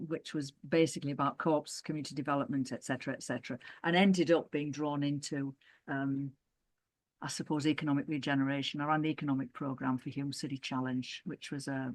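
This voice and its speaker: Against a quiet background, a woman with a northern English accent speaks at a very fast pace with a very deep, low pitch. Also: fairly even intonation. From northern England. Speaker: former co-operative development worker and councillor. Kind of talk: oral history interview. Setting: video call. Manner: halting.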